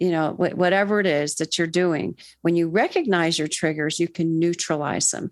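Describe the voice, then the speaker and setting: A woman's fairly low voice with an American accent, an ordinary speaking voice at a moderate pace against a quiet background. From Florida, US. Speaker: mental health counsellor. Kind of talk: interview conversation.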